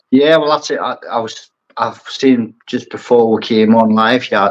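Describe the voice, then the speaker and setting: A man talks at a fairly slow pace in a strong Geordie accent, his intonation monotone and flat. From Newcastle, northeast England. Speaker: aquascaper and brand ambassador. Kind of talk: casual chat.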